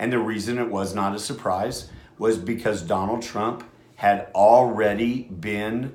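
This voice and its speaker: The room echo is audible as a man speaks at a fairly slow pace. His medium-pitched voice keeps a fairly even intonation. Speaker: radio host. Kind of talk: casual talk radio monologue. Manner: loud; halting, many fillers.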